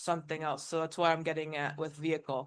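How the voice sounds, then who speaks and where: Loud and high-pitched, a man speaks in a bright, sharp tone. The background is quiet. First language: not English. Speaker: audience member. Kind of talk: casual discussion.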